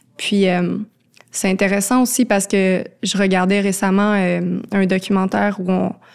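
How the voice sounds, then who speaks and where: The speaker has a Quebec accent and talks very slowly. The intonation is monotone and flat. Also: woman. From Quebec, Laurentides. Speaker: cultural contributor. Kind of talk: casual interview. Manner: hesitant, many fillers.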